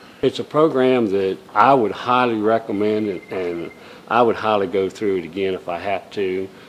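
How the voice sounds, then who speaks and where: Noticeable background noise sits behind a man's fairly low voice. He speaks at a moderate pace with ordinary pitch variation. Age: 60s. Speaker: patient giving testimonial. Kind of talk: testimony.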